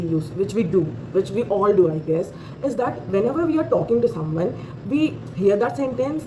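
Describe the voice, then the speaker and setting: Over noticeable background noise, a speaker with an Indian accent talks at a moderate pace with very wide pitch swings. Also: woman. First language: Hindi. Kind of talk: casual talk to camera. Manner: hesitant, many fillers.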